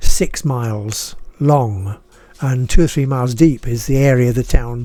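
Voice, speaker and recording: With a northern English accent, a man speaks at a medium pitch. His tone is dark and mellow. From northern England (Harrogate, Yorkshire; schooled in Boston, Lincolnshire). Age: 80s+. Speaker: retired writer and video blogger. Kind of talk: casual monologue, personal reflection. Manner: halting, with repetitions; passionate.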